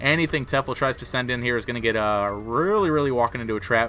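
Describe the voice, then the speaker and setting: At a medium pitch, a man's voice comes through noticeable background noise. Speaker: video game commentator. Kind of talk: live commentary. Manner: fast; animated.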